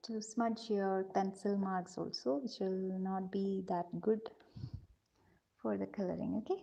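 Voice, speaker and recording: Soft-spoken with a dark, mellow tone, a woman talks at a fairly slow pace and medium pitch with fairly even intonation. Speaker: art teacher for kids. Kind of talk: live drawing tutorial. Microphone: too quiet.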